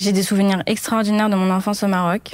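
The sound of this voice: A woman speaks at a fast pace. Her medium-pitched voice moves very little in pitch.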